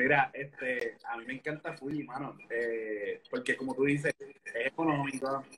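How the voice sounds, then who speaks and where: A man talks at a fairly slow pace in a Puerto Rican accent, with hardly any pauses. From Puerto Rico, Orocovis. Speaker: Instagram live interviewer. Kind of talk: casual live-stream interview. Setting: online live stream.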